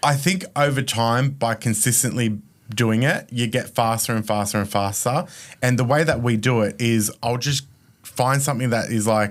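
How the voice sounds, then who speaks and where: A man with an Australian accent speaks at a medium pitch and moderate pace. His loudness stays very even, with ordinary pitch variation. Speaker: mortgage broker, business founder. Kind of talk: casual podcast interview. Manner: animated.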